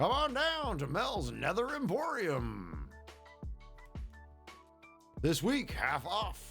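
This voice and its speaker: A put-on character voice at a very slow pace, over clear music in the background. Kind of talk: salesy advertising. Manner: loud, pitching, upbeat.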